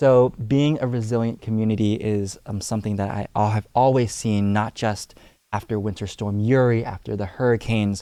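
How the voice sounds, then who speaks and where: Against a quiet background, a man with a Cantonese accent speaks in a dark, mellow tone. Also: fairly even intonation, moderate pace. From US, Houston, Texas (Alief). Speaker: youth civic organizer. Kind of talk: podcast interview. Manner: frequent filler hesitations.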